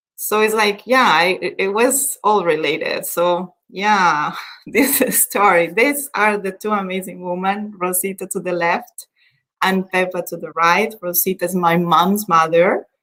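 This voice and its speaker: With a Spanish accent, a woman speaks at a medium pitch and a fairly slow pace. Her tone is bright and sharp, and her pitch varies in an ordinary way. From Colombia. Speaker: event host. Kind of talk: personal storytelling.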